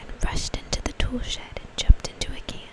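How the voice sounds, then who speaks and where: Over noticeable background noise, a woman whispers at a moderate speed. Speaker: mom who makes ASMR videos. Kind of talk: whispered ASMR story reading. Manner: whispered.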